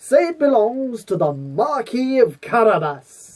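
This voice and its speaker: Put-on character voice, raised and projected, fairly high in pitch with very wide pitch swings at a fairly slow pace. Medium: read story. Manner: crafty, persuasive.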